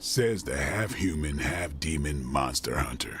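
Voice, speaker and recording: At a moderate pace, a man puts on a raspy character voice pitched very deep and low, with light background noise behind him. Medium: video game. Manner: sarcastic, casual.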